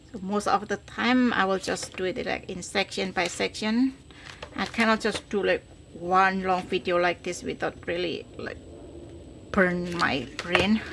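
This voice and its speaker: With a non-native accent, a woman speaks at a fairly slow pace in a medium pitch with ordinary pitch variation, over noticeable background noise. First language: not English. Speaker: crafter, tutorial host. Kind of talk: crafting tutorial. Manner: halting, fumbling.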